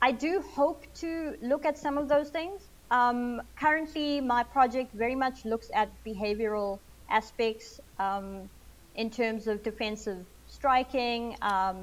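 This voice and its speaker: A high-pitched woman's voice at a fairly slow pace. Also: ordinary pitch variation. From Zimbabwe, later India and South Africa. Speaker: snake ecologist. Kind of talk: interview.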